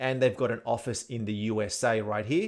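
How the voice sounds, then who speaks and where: Over a quiet background, a man with an Australian accent speaks at a moderate pace. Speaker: tech tutorial presenter. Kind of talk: tutorial. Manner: casual, with fillers.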